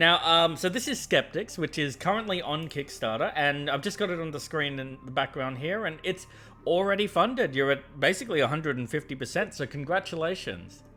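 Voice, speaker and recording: With music in the background, a man with an Australian accent talks at a fairly quick pace, his fairly high pitch full of lively intonation. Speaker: board game show host. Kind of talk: casual interview.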